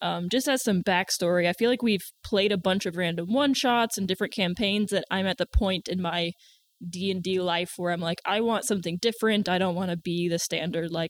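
Speaking at a fairly quick pace with an American accent, a woman with a medium-pitched voice and ordinary pitch variation sounds dry and close with no echo in a very clean recording with a silent background. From US South. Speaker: tabletop game player. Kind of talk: casual chat.

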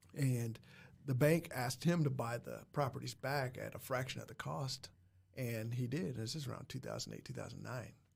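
This man has an American accent and a medium pitch, and his voice is somewhat breathy. He talks at a moderate pace with fairly even intonation. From Muncie, Indiana. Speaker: school principal and real estate investor. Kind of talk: casual interview chat.

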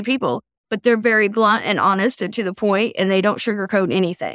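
At a moderate pace, a woman speaks at a medium pitch in an ordinary speaking voice. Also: quiet background. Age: 40s. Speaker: guest sharing mental health story. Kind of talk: testimony.

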